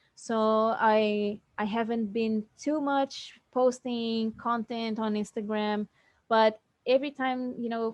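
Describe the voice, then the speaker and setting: A fairly high-pitched woman with a non-native accent keeps her intonation fairly even, the sound dry and close with no echo. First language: not English. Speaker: fitness influencer. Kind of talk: interview. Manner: halting.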